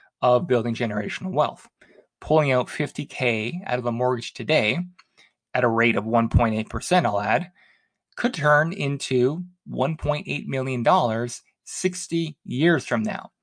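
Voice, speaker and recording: A man's moderate-paced speech, a plain, everyday voice of medium pitch and ordinary pitch variation. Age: 30s. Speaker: personal finance podcast host. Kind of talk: solo podcast monologue.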